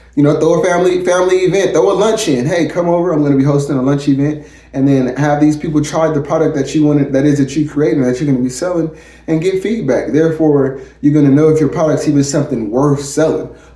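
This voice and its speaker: A man's very fast speech at a fairly high pitch, with ordinary pitch variation, very even loudness and audible room echo. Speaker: chef and entrepreneur giving business tips. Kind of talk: casual vlog tutorial. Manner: animated, conversational.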